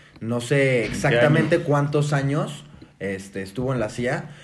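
In a room with audible echo, a man talks at a fairly slow pace, his fairly high voice somewhat breathy. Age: 20s. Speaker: podcast guest. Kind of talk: casual chat.

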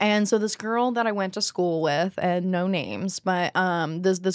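In a plain, everyday voice, a woman speaks at a moderate pace with medium pitch and fairly even intonation on a very clean recording with a silent background. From US Southeast (the Carolinas). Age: 20s. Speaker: adult film performer. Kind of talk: casual interview.

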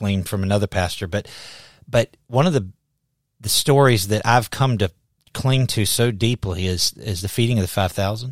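A man with a Southern US accent and ordinary pitch variation, dry and close with no echo, in a very clean recording with a silent background. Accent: Southern US drawl. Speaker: pastor and podcast host. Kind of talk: casual interview conversation. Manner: animated.

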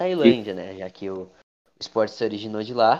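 Here a man talks at a moderate pace in a normal speaking voice, pitched medium with ordinary pitch variation. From Brazil. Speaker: podcast host. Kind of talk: casual chat.

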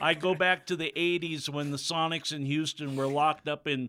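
At a moderate pace, a man with an American accent speaks in a fairly high voice with monotone, flat intonation. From US Pacific Northwest. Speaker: stadium PA announcer and radio host. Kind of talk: casual interview chat. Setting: radio studio. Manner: halting, many fillers.

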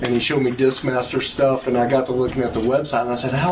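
A man of medium pitch speaks at a fairly quick pace, with noticeable background noise in the recording. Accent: American. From Texas Panhandle. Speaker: guitarist. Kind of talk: casual chat.

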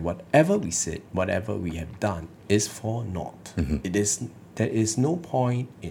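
At a moderate pace, a man with a dark, mellow, somewhat breathy tone speaks at a fairly low pitch with very wide pitch swings. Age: 30s. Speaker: lawyer and political party leader. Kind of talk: political interview. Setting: studio.

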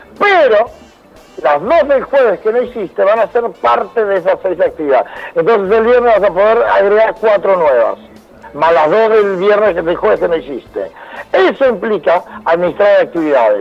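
A man at a moderate pace with very even loudness, amid noticeable background noise. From Argentina (Buenos Aires area), born in Venezuela. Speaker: psychologist. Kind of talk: casual interview.

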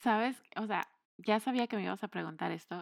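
On a very clean recording with a silent background and a dry, close sound with no echo, a woman with a plain, everyday voice speaks at a moderate pace, fairly high in pitch with ordinary pitch variation. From Mexico. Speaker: podcast co-host. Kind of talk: casual chat.

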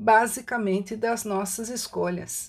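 A woman with a normal speaking voice, fairly slow and with ordinary pitch variation, on a very clean recording with a silent background. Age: 60s. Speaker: writer and holistic therapist. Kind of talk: prepared reflective talk. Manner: fluent.

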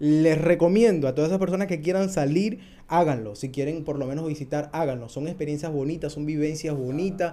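A man's dark, mellow tone at fairly high pitch, with ordinary pitch variation, a fairly quick pace and hardly any pauses. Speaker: podcast host. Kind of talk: casual chat.

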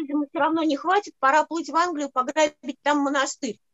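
Speech comes at a very fast pace. The intonation stays fairly even. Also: woman. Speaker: scholar co-presenter. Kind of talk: academic seminar lecture.

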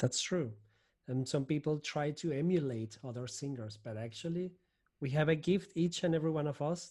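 With a Spanish accent, a man speaks at a moderate pace in a fairly high pitch, somewhat breathy, with a dark, mellow tone and ordinary pitch variation, on a very clean recording with a silent background. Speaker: podcast host. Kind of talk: interview, podcast host.

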